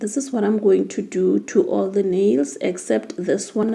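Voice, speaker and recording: A woman's medium-pitched voice at a fairly slow pace, with vocal fry and a dark, mellow tone. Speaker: nail tech content creator. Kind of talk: tutorial. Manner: halting.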